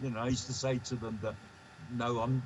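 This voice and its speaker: A man with a medium-pitched voice and an English accent, at a very fast pace. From England. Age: 70s. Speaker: artist. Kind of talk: casual chat.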